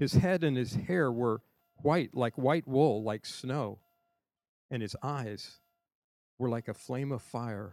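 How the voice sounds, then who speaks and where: Very slow and full of long, frequent pauses, a man speaks at medium pitch with ordinary pitch variation in a dry, close sound with no echo on a very clean recording with a silent background. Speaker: scripture reader. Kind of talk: reading aloud. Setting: church service on a college campus.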